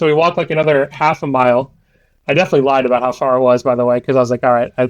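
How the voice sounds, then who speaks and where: A man with an American accent speaks at a very fast pace and very even loudness. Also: medium pitch for a man. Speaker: podcast co-host, card game player. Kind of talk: casual chat, anecdote. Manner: animated storytelling with fillers.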